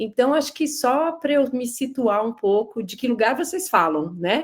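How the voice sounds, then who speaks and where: Her pitch is high and swings very widely. The woman talks at a fairly slow pace. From São Paulo, Brazil. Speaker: lecturer. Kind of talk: lecture.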